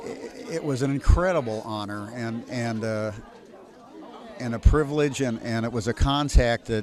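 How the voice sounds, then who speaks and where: A man speaks with big swings in loudness. Crowd noise sits in the background, and room echo is audible. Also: medium pitch for a man, ordinary pitch variation, moderate pace. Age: 60s. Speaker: ragtime pianist. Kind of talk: interview. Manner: halting, many repetitions.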